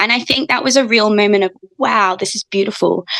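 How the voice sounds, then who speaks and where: The sound is dry and close, with no echo. A woman speaks fairly quickly. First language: not English. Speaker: ecology educator and musician. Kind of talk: podcast interview.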